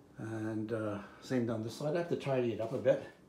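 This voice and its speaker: A man speaks at a fairly quick pace, with audible echo from the room. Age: 70s. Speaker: DIY home renovator. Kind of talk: DIY video diary. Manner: casual, halting.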